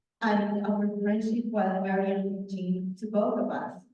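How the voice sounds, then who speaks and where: Audible room echo surrounds speech at a very slow pace. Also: woman. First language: not English. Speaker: author, guest speaker. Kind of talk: talk to a club meeting.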